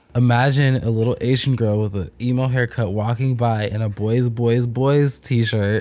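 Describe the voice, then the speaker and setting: Over noticeable background noise, the speaker uses an animated tone at a moderate pace. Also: man, medium pitch for a man. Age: 20s. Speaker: podcast co-host. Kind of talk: casual chat.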